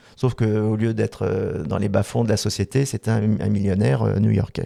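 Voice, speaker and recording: A very clean recording with a silent background carries a man's dark, mellow tone. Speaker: voice actor. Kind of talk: interview. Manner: hesitant, many fillers.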